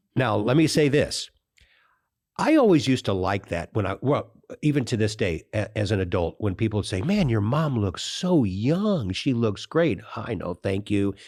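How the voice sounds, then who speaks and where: On a very clean recording with a silent background, an ordinary speaking voice delivers lively intonation at a moderate pace. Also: man, medium pitch for a man. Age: 60s. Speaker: podcast host and financial planner. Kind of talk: interview conversation.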